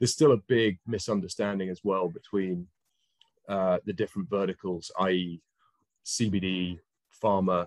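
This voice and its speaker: Against a quiet background, a man with a British accent and a very deep, low pitch speaks at a moderate pace. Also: dry sound with no echo. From UK. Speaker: cannabis industry investor; panelist. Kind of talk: panel discussion. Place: home room. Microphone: video call.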